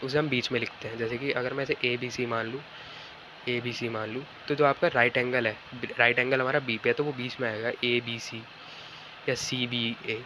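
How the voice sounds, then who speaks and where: Over noticeable background noise, a man with a medium pitch speaks at a moderate pace in monotone, flat intonation. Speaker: online physics and maths teacher. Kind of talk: tutorial lecture. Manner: casual, repetitive fillers.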